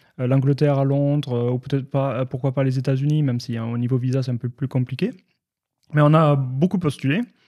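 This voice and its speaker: At a fairly quick pace, a man with a dark, mellow tone speaks at medium pitch with fairly even intonation. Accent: slight southwestern French. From southwestern France. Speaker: IT and cybersecurity professional, expat community figure. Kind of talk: podcast interview. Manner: hesitant, many fillers.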